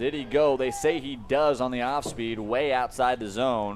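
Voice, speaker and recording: A man with an American accent speaks in a normal speaking voice at medium pitch, at a moderate pace and with ordinary pitch variation. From Omaha, Nebraska, USA. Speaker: play-by-play baseball commentator. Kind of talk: baseball play-by-play commentary.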